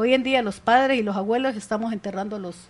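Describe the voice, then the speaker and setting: Her intonation is fairly even. This woman's voice sits at a fairly high pitch. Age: 60s. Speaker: community leader. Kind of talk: radio interview. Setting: radio studio.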